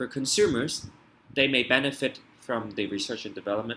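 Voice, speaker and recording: The tone is bright and sharp. Delivery is fairly quick, with ordinary pitch variation. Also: man. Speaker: IB economics tutor. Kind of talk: tutorial. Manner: fast.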